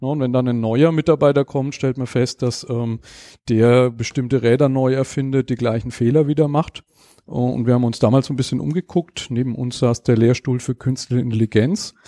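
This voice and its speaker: Dry and close with no echo, a man's voice has a dark, mellow tone, medium pitch, fairly even intonation and a moderate pace. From Germany, Lower Franconia (Schweinfurt). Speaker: founder of a knowledge management academy. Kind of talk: interview.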